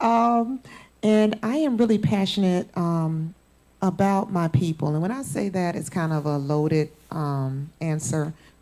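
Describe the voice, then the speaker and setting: Lively intonation in an American accent. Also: woman. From US South, Florida. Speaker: panelist, mother. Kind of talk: panel discussion.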